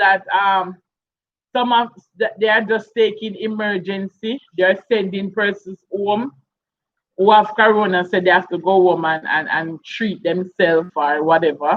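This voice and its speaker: A woman with a Jamaican accent talks at a fairly slow pace. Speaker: YouTube live streamer. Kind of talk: casual live stream chat.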